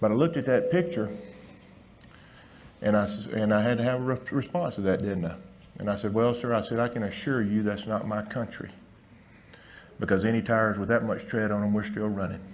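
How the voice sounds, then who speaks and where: In a Southern US accent, a man with a fairly low pitch and ordinary pitch variation speaks with long, frequent pauses amid audible room echo. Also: fairly quick pace. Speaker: veterinarian. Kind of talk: conference talk.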